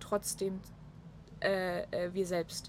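A somewhat breathy woman speaks at a very slow pace. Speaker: podcast guest. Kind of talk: casual chat. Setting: on a balcony in Munich.

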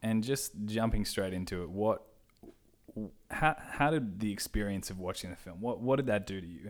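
At a moderate pace, a man with an Australian accent talks in a fairly low pitch, with ordinary pitch variation and big swings in loudness. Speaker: podcast host. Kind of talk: casual interview.

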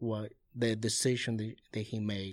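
With a Spanish accent, a man speaks at a fairly slow pace and medium pitch in a very clean recording with a silent background. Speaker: youth pastor. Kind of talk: interview. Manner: halting.

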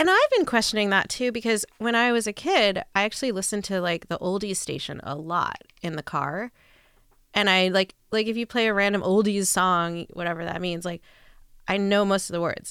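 Speaking at a fairly quick pace, a woman uses a plain, everyday voice at medium pitch with ordinary pitch variation, recorded very cleanly against a silent background. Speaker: podcast guest, music novice. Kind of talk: casual chat.

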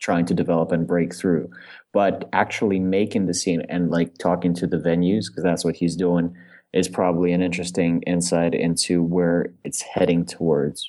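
A man speaks at a fairly quick pace in a very deep, low pitch. His tone is dark and mellow, his intonation monotone and flat. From Russia, Moscow. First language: Russian. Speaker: stand-up comedian. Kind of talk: casual interview. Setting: video call.

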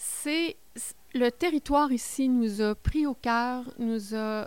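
On a very clean recording with a silent background, a woman speaks very slowly. Her voice is high with ordinary pitch variation. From Quebec, Côte-Nord. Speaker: regional politician. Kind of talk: interview.

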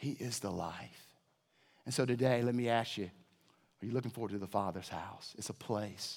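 A man at a medium pitch speaks at a moderate pace with ordinary pitch variation, leaving long, frequent pauses. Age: 50s. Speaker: pastor. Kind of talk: sermon. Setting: church.

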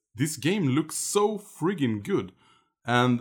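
Fairly slow delivery from a man, a normal speaking voice with ordinary pitch variation, very clean recording and a silent background. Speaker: guest gamer. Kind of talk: casual chat.

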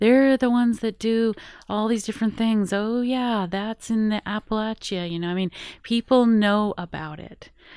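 With an American accent, a woman speaks in a plain, everyday voice at a fairly high pitch and a moderate pace. Her intonation is fairly even, and the sound is dry and close with no echo. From Colorado, rural Rocky Mountains. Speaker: head of a broadcasters' federation. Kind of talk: radio interview. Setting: radio studio.

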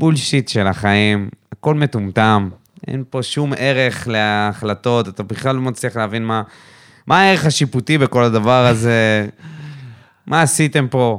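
This is a plain, everyday voice of a man at a medium pitch with ordinary pitch variation. He talks at a fairly slow pace on a very clean recording with a silent background. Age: 30s. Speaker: football podcast co-host. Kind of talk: casual chat.

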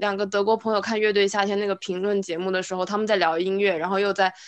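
Moving at a fairly quick pace, a woman of medium pitch speaks in a plain, everyday voice. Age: 20s. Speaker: podcast co-host. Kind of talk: casual chat.

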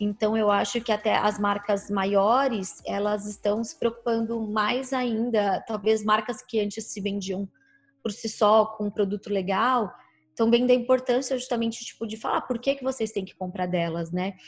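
On a very clean recording with a silent background, a woman with a fairly high pitch sounds somewhat breathy, keeping fairly even intonation at a moderate pace. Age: 30s. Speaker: media platform founder. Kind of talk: interview.

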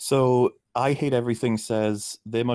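A man in a Welsh accent with ordinary pitch variation, very clean recording and a silent background. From Wales. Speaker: YouTube film critic. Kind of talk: casual chat.

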